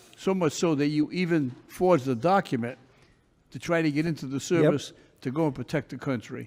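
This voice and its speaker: A man speaks in an ordinary speaking voice at a fairly quick pace. His pitch is fairly high, with ordinary variation. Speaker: judge. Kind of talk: courtroom hearing.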